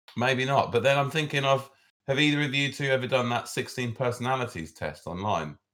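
With a British accent, a man speaks fairly quickly in a medium pitch. His tone is bright and sharp, with ordinary pitch variation. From Britain. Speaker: podcast co-host. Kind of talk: casual chat.

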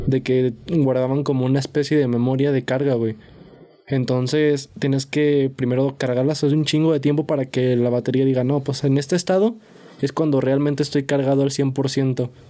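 Here a man speaks with a fairly high pitch. His pace is moderate and his intonation fairly even. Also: very even loudness. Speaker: podcast host. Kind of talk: casual chat.

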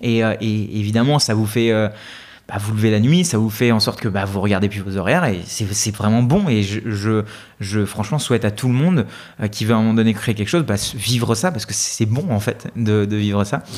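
This man's pitch is fairly low and varies the ordinary amount. He has a plain, everyday voice and talks at a fairly quick pace. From India, raised in France from age 8. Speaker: developer and YouTube creator. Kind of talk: casual interview.

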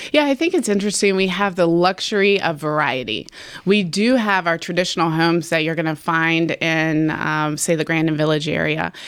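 A woman with a fairly low voice and ordinary pitch variation speaks at a fairly quick pace. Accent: American. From Roanoke, Virginia (Wasena). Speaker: realtor. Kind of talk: casual interview. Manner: animated.

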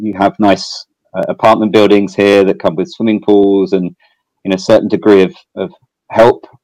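The voice has a dark, mellow tone, fairly even intonation and a slight English accent, recorded with a dry, close sound and no echo. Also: man. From southeast England. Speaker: fintech company executive. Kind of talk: fireside chat interview. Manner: hesitant, filler-heavy.

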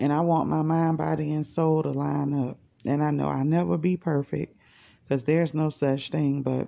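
The woman's pitch is very deep and low, and she talks at a middling speed. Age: 40s. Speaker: podcast host. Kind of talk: casual monologue. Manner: animated.

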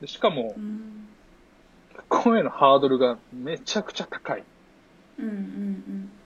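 A man speaks fairly slowly with a fairly high pitch and long, frequent pauses. His pitch swings very widely and his loudness shifts a lot. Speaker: former exchange student in China. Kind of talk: casual chat.

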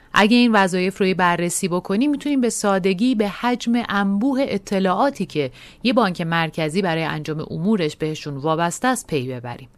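Pitched at a medium level, a woman talks at a moderate pace with very wide pitch swings and hardly any pauses. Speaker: podcast narrator and editor. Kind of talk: scripted narration. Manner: formal.

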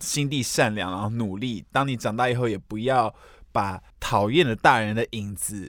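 A man talks at a medium speed, the recording very clean and the background silent. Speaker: podcast co-host. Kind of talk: casual chat.

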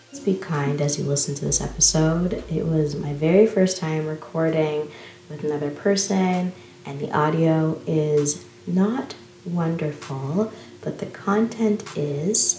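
A woman speaks fairly slowly in a very deep, low voice with ordinary pitch variation. Noticeable background noise and audible room echo fill the recording. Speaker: podcast host. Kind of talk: interview; scripted land acknowledgement. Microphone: poor audio early in episode.

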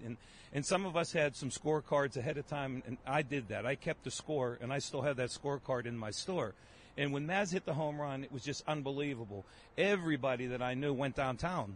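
A man with a plain, everyday voice talks at a fairly quick pace, his fairly high pitch showing ordinary pitch variation. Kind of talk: casual chat.

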